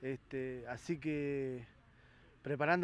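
The speaker talks with a Rioplatense accent in a dry sound with no echo. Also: man. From Argentina, Buenos Aires province. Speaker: women's football coach. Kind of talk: post-match interview. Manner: halting, many fillers and repetitions. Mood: pleased after a win. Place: stadium. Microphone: handheld.

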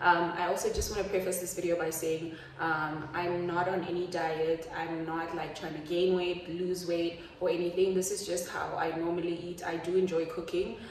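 A woman's monotone, flat voice with audible room echo and light background noise. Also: fairly low pitch for a woman, moderate pace. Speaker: lifestyle vlogger. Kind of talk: casual vlog chat. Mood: relaxed, chatty. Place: kitchen. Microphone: phone near.

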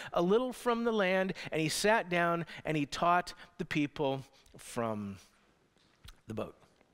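Very wide pitch swings at a fairly slow pace against a quiet background. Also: man. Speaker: pastor. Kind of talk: sermon. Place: church. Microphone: headset.

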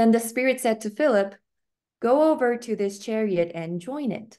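With lively intonation and a slightly mellow tone, a woman speaks at a fairly slow pace.

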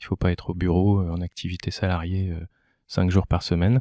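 A man speaks at a fairly quick pace with a very deep, low pitch and a dark, mellow tone, his intonation monotone and flat. The recording is very clean with a silent background and has a dry, close sound with no echo. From Val-d'Oise, Paris region, France. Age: 40s. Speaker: entrepreneur. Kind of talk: casual interview.

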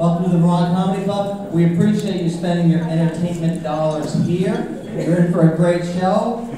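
A man's high-pitched voice at a moderate pace with hardly any pauses, amid noticeable background noise and strong room echo. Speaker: stand-up comedian and club opener. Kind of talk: stand-up comedy set with crowd work and jokes. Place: stage.

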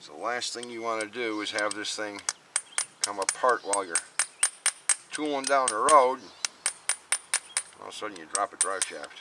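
A man speaks at a moderate pace with ordinary pitch variation and long, frequent pauses. The sound is dry with no echo, but noticeable background noise is present. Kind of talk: tutorial. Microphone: camera far.

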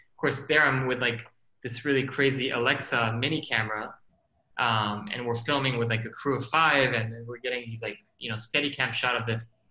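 A man at a medium pitch speaks at a fairly quick pace with fairly even intonation, and room echo is audible. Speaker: filmmaker and scientist; guest. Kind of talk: panel discussion. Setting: video call. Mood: relaxed, reflective. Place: home room. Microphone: video call.

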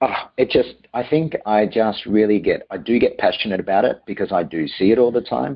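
An Australian-accented man speaks at a moderate pace with very wide pitch swings. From Australia, Melbourne. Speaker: private chef. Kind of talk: interview.

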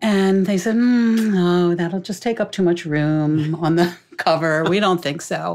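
A woman speaks at a fairly slow pace in a normal speaking voice. Her fairly low pitch has ordinary variation. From Greek-American family. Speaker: thriller author. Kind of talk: casual chat.

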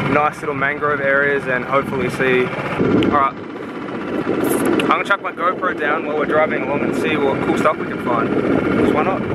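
A man talks at a fairly slow pace over loud background noise, the sound dry with no echo. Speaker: vlogger. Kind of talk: casual vlog chat with facts. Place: boat. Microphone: phone near.

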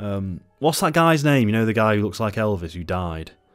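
A man with a southern English accent talks at a very fast pace. The background is quiet. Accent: British, southern English. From England. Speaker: book and film reviewer. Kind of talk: casual review talk to camera. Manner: witty, casual, swears a lot. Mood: sardonic, animated, swears a lot. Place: home room. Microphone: studio mic.

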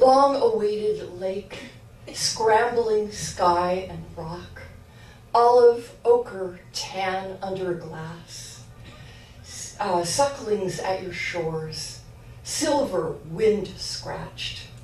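At a very slow pace, a woman speaks with lively intonation and big swings in loudness, with audible room echo around her. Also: medium pitch for a woman. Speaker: poet. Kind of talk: poetry reading. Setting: live reading with audience. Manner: conversational intro, then measured reading; self-deprecating, laughing. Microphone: camera far.

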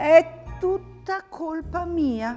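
An extremely high-pitched, put-on character voice. Faint music plays in the background. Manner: apologetic.

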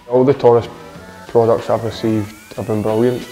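A man at a very fast pace, fairly low in pitch, with monotone, flat intonation and faint music in the background. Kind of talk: interview answer. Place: gym. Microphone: lapel.

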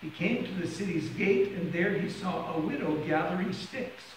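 A high-pitched male voice with audible room echo and light background noise. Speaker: minister. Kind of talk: scripture reading. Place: church.

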